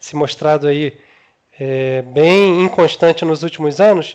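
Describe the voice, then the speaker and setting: A very slow pace with ordinary pitch variation. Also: man. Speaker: podcast host. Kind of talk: interview. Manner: casual, hesitant with fillers.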